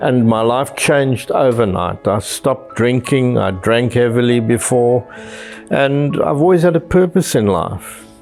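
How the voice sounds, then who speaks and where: With music in the background, a man speaks at a fairly slow pace and medium pitch, his intonation lively and his loudness very even. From South Africa, Cape Town. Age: 70s. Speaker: retiree interviewee. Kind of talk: personal interview monologue.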